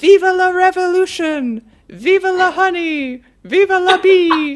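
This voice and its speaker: Shouting in a put-on character voice, the speaker goes at a fairly slow pace with an extremely high pitch. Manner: screaming, defiant.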